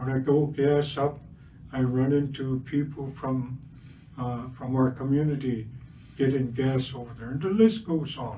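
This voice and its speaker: A man at a medium pitch sounds somewhat breathy, with a dark, mellow tone, fairly even intonation and audible room echo. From Siksika Nation, Alberta, Canada. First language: Blackfoot (Siksika). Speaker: residential school survivor speaker. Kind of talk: public talk. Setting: livestream at historical park. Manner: halting, many fillers.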